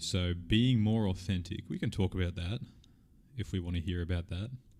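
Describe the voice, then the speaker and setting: Very deep and low, a man's voice carries an Australian accent. He speaks at a moderate pace with ordinary pitch variation. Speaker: streamer answering viewer questions. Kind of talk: live stream Q&A, casual chat. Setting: live stream. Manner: casual, animated.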